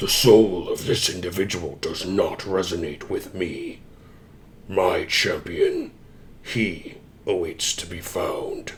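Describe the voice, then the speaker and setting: A man uses a put-on character voice, booming and growling at a fairly slow pace. Clear background noise runs underneath. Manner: grand, aloof.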